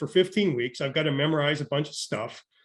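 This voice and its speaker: A man with a fairly high, somewhat breathy voice speaks against a quiet background. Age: 60s. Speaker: education professor. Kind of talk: interview. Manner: halting, many fillers and repetitions.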